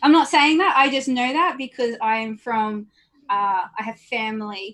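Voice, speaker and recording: Her fairly high-pitched voice carries lively intonation as this woman speaks. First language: not English. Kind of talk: group discussion.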